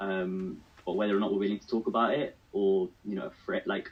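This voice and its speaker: A man speaks very fast in a British accent. His fairly low voice stays monotone and flat. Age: 20s. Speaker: mental health advocate. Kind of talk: radio panel discussion.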